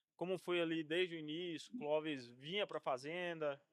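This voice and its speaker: A man talks at a moderate pace with a high pitch. The sound is dry and close, with no echo. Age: 30s. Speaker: podcast host. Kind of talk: interview.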